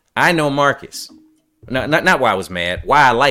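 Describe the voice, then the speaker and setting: A man's fairly brisk speech plays against background music. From New York. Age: 40s. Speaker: podcast host, military veteran. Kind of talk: casual chat.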